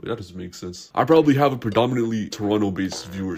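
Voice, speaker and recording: A man at medium pitch, talking at a very fast pace over music in the background. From Toronto, Canada. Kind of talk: animated storytime narration. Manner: casual, comedic.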